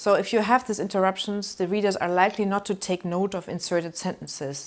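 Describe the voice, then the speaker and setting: With a German accent, a woman speaks at a fairly low pitch with ordinary variation, on a very clean recording with a silent background. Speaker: university lecturer. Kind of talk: lecture. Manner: halting.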